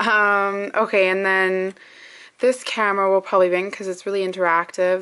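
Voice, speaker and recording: This voice belongs to a woman. She talks at a moderate pace. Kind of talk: casual vlog chat. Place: home room. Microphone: phone near.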